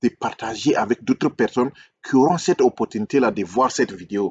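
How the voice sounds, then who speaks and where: His speaking pace is moderate. The pitch of this man's voice rises and falls over a very wide range. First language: English (speaking French). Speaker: relationship coach, YouTuber. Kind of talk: video monologue, critique and subscribe appeal. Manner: hesitant, repetitive.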